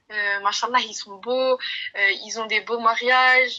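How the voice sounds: A woman speaks at a fairly slow pace with a fairly high pitch. Her tone is bright and sharp, her intonation fairly even.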